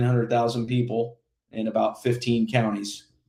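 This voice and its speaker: At a moderate pace, a man with an American accent talks at medium pitch in a normal speaking voice. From Indiana. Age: 40s. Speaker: political candidate. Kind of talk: interview. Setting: podcast.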